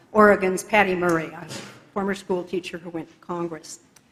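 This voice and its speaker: Noticeable background noise runs beneath a woman's medium-pitched voice, her intonation fairly even. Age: 70s. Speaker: church member, retired investigative reporter. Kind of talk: testimony. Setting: church. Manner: occasional hesitations.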